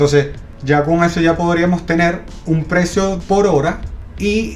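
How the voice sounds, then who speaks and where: The pitch varies in an ordinary way. Audible room echo and noticeable background noise come through. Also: man. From Venezuela. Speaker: podcast co-host, industrial designer. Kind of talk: casual chat.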